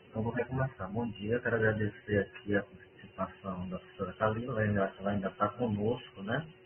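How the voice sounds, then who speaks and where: Soft-spoken and fairly quick, a man with a fairly low voice talks with fairly even intonation and hardly any pauses, over noticeable background noise. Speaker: university administrator chairing a meeting. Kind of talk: online work meeting. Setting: video call from home bedroom. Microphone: sounds muffled.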